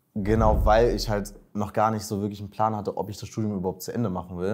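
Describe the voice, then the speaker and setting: A man's fairly low voice with fairly even intonation against a quiet background. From Berlin, Germany. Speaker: master's student, coaching client; coaching client. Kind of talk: interview, casual. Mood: relaxed, reflective. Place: office. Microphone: lapel.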